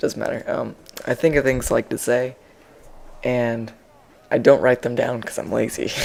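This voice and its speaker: Noticeable background noise sits behind a man's voice. He speaks at a moderate pace, leaving long, frequent pauses. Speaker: gaming commentator. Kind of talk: gameplay commentary. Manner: monotone; halting.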